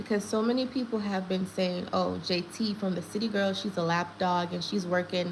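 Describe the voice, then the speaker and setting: With a Jamaican accent, a woman speaks at a medium pitch with ordinary pitch variation against noticeable background noise. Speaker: gossip livestream host. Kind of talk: live stream commentary. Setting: live stream. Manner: animated.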